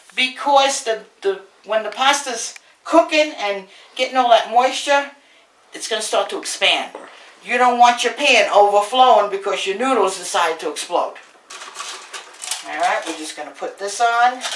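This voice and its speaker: A woman's animated voice at a moderate pace, with lively intonation, big swings in loudness, long, frequent pauses and noticeable background noise. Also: fairly high pitch for a woman. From Brooklyn, New York. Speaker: home cook, cooking show host. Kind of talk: cooking tutorial.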